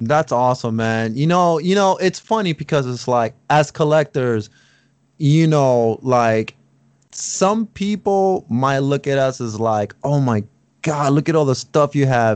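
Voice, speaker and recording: With a plain, everyday voice, a man speaks at a fairly high pitch with lively intonation. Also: fairly slow pace. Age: 30s. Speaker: podcast host. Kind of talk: casual chat.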